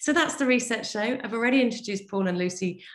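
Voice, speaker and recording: Very wide pitch swings in a woman's speech. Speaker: podcast host and team coach. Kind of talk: interview podcast. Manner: fast.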